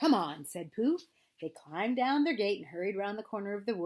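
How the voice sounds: Lively intonation colors this natural reading voice.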